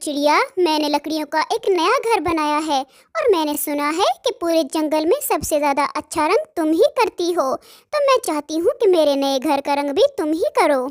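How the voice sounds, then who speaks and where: A cartoonish character voice, female-sounding and extremely high in pitch, speaks at a moderate pace. There are hardly any pauses. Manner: warm, polite.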